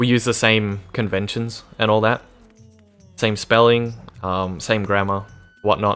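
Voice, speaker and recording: Against music in the background, a man talks in a fairly low, flat monotone at a fairly slow pace with long, frequent pauses. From Australia. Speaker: video game streamer. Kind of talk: casual chat while gaming.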